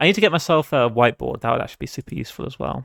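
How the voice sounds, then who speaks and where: A man's very fast speech with a British accent and vocal fry, dry and close with no echo, in a very clean recording against a silent background. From Britain. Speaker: game developer streamer. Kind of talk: live dev stream thinking aloud. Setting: live stream. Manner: casual, hesitant with fillers.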